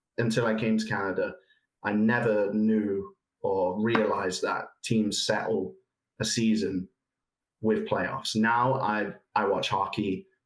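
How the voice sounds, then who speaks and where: Fairly slow and fairly low, a man speaks with an English accent. His loudness stays very even and his intonation fairly even. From England. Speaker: soccer expert. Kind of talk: podcast interview.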